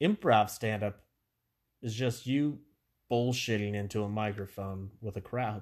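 An animated man at a fairly slow pace, with long, frequent pauses against a quiet background. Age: 30s. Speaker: comedian and podcast host. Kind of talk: casual solo podcast monologue. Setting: home recording. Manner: quiet, like telling a secret; animated, stumbling over words.

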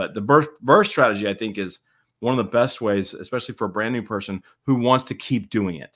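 A man with an unremarkable speaking voice talks at medium pitch and a fairly quick pace, with ordinary pitch variation. His loudness swings widely, on a very clean recording with a silent background. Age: 40s. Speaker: real estate investor, podcast host. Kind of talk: casual chat.

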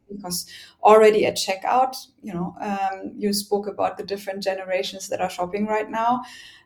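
A woman with a German accent speaks at a fairly quick pace, her medium pitch held in a fairly even intonation. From Germany. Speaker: logistics tech executive. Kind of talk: interview.

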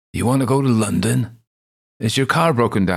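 Putting on a croaky character voice, a man talks at a fairly quick pace with medium pitch.

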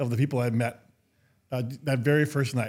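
On a very clean recording with a silent background, a man with an American accent speaks at a moderate pace in a medium pitch, his tone dark and mellow, somewhat breathy, with ordinary pitch variation. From Minnesota. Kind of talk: interview.

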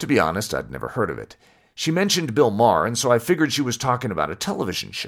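Speaking very fast, a man with an American accent uses a medium pitch that swings very widely, with vocal fry. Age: 30s. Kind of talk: scripted narration.

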